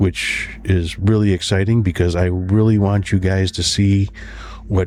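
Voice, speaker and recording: Over noticeable background noise, a man speaks in a very deep, low voice with monotone, flat intonation. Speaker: podcast host. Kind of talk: podcast outro monologue.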